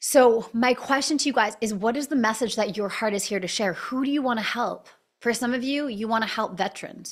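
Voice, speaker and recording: A woman talks in an animated tone at a fairly quick pace, with ordinary pitch variation. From Canada. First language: not English (unnamed). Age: 30s. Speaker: breathwork coach and business owner. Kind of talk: live online class.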